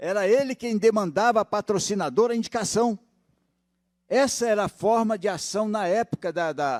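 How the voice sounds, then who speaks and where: A man at a moderate pace, high in pitch, with ordinary pitch variation. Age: 70s. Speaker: pension fund director. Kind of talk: public hearing speech. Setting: legislative assembly hearing.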